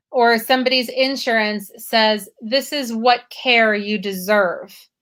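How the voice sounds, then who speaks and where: Recorded very cleanly with a silent background, a woman with an unremarkable speaking voice talks at a fairly high pitch. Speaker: live show host. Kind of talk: live video interview.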